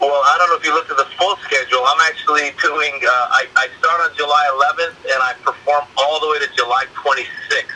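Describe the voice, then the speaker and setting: A man speaks with an American accent at a fairly quick pace. He hardly pauses, and there is noticeable background noise. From Iranian American. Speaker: stand-up comedian. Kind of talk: interview answer.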